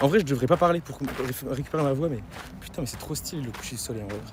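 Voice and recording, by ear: A man puts on a hoarse character voice at medium pitch, talking very fast. Background noise is noticeable.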